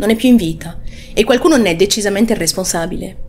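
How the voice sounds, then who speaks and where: Over light background noise, a woman talks at a fairly quick pace with very wide pitch swings. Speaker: true crime channel host. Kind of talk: true-crime narration. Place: home room. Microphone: studio mic.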